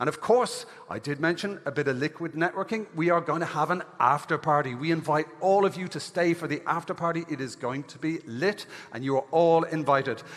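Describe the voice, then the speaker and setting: With an Irish accent, a man talks at a fairly quick pace and a fairly high pitch, his pitch variation ordinary, over noticeable background noise. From Ireland. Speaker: event host. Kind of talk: conference hosting on stage. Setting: stage with audience. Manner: animated.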